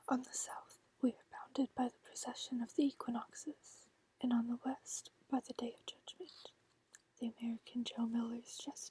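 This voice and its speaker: Soft-spoken whispering at a moderate pace. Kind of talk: audiobook reading. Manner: soft-spoken, whispered.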